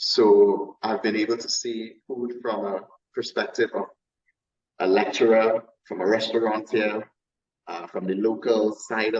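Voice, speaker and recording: The speaker is a man. He has a Trinidadian accent. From Trinidad and Tobago. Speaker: chef. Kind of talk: interview.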